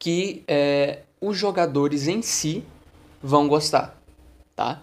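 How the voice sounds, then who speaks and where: The man's pitch is fairly high and varies in an ordinary way. He speaks at a very slow pace. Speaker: podcast host, tabletop RPG game master. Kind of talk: solo podcast monologue. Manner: casual, conversational.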